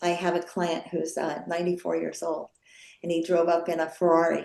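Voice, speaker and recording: A woman's tone is dark and mellow. She speaks at a fairly quick pace. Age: 70s. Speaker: wellness center founder. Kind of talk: guest talk on video call. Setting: video call.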